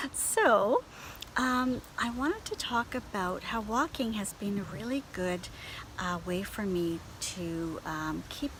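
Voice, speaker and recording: Speaking very slowly with a Canadian accent, a woman at a medium pitch uses lively intonation over noticeable background noise. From Canada. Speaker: beauty and lifestyle blogger. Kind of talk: casual talk to camera. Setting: outdoors.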